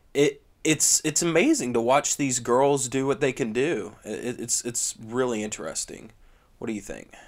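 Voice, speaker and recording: At a moderate pace and with ordinary pitch variation, the speaker talks in an American accent on a very clean recording with a silent background. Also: man, medium pitch for a man. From US South. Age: young. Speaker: sports podcast co-host. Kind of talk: casual chat.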